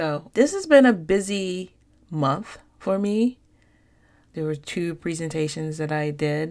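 Silent in the background and very clean, the recording holds a woman speaking at a fairly slow pace. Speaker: podcast host. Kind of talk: casual interview chat.

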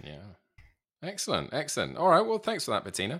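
Male voice on a very clean recording, the background silent. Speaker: podcast host. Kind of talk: interview, casual chat.

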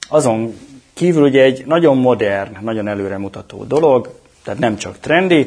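Here a man talks at a moderate pace with ordinary pitch variation. He has a plain, everyday voice. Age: 40s. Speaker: cloud technology specialist. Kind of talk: interview.

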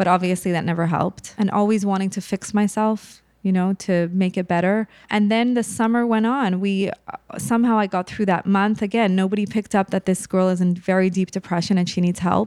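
A woman with a normal speaking voice and medium pitch talks at a fairly quick pace with fairly even intonation, in a dry, close sound with no echo on a very clean recording with a silent background. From Montreal, Canada. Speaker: mental health advocate. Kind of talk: personal testimony in interview.

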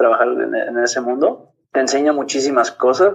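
A man with a Mexican accent at a moderate pace. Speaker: marine biologist and diving instructor. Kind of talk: casual interview. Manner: animated.

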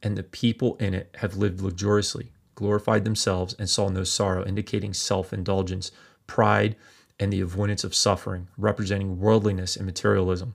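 Here is a man with a plain, everyday voice, talking at a fairly quick pace with fairly even intonation. The recording is very clean, with a silent background. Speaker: pastor. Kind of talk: Bible teaching sermon; reading scripture aloud. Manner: formal, measured reading; steady, solemn delivery.

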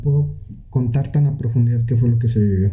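Audible room echo surrounds a man speaking in a medium pitch with ordinary pitch variation. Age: young. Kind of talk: casual chat. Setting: home studio.

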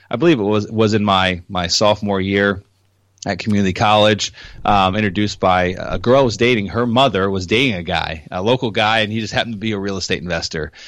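Talking at a very fast pace, a man speaks with ordinary pitch variation. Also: fairly low pitch for a man. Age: 30s. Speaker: real estate investor. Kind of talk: interview. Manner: halting, many fillers.

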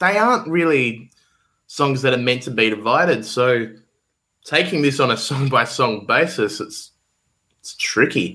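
An Australian accent marks this man's medium-pitched voice, which has a bright, sharp tone and lively intonation at a fairly slow pace, broken by long, frequent pauses. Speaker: guest co-host, music fan. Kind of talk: casual chat.

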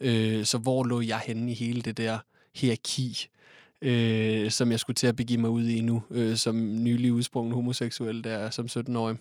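A man's medium-pitched, monotone, flat voice at a fairly slow pace, on a very clean recording with a silent background. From Denmark, Odense. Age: 20s. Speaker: nursing care student. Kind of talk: casual chat.

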